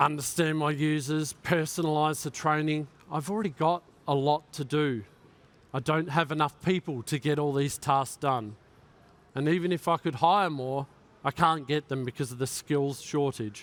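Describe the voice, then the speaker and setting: A man with an Australian accent at a moderate pace, fairly high in pitch, with fairly even intonation. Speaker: cybersecurity conference speaker. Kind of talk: keynote talk.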